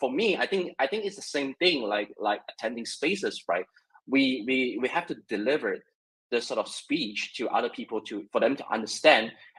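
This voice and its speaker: A man with a Mandarin accent at a moderate pace. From China. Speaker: web3 content creator. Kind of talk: casual discussion. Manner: halting, many repetitions.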